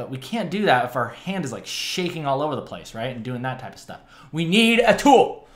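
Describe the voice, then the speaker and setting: Speaking at a moderate pace, a man uses a fairly high pitch with very wide pitch swings. Room echo is audible. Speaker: digital art tutorial host. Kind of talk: tutorial. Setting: home studio, screen recording. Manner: animated, casual, joking. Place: home room.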